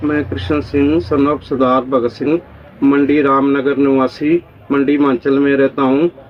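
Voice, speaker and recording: A man's fairly high voice with very even loudness, fairly even intonation and noticeable background noise. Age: 60s. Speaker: pensioner. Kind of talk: testimony.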